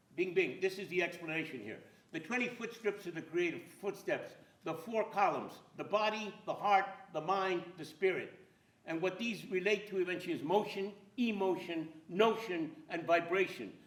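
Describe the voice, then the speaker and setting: A man with an American accent speaks at a moderate pace in a high-pitched voice with ordinary pitch variation, and some room echo can be heard. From California (Central Valley, farmworker family). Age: 80s+. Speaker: playwright and filmmaker. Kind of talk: lecture with slides. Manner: animated.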